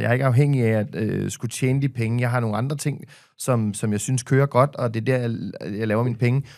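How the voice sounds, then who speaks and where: Against a quiet background, a man speaks at a very fast pace with hardly any pauses and fairly even intonation. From Denmark. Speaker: podcaster and media personality; podcaster. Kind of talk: casual chat. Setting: studio. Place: studio. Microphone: studio mic.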